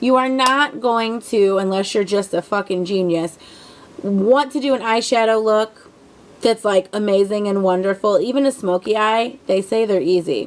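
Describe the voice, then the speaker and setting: A woman talks at a moderate pace with a fairly high pitch and ordinary pitch variation. Her loudness stays very even over noticeable background noise. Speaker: beauty vlogger. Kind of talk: tutorial. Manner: casual, rambling with fillers.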